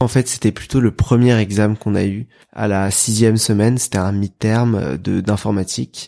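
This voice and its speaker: Recorded dry and close with no echo and a silent background, a man with a fairly low, dark, mellow voice speaks at a moderate pace with fairly even intonation. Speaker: engineering student. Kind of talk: casual interview.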